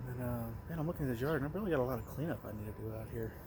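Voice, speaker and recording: Talking very fast with an American accent, a man has a medium-pitched, somewhat breathy voice and ordinary pitch variation. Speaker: vlogger. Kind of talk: casual vlog talk. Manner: mumbling.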